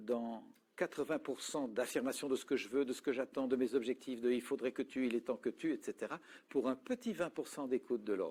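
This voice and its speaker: A plain, everyday voice from a man at medium pitch and moderate pace, on a very clean recording with a silent background. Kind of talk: talk on communication and listening.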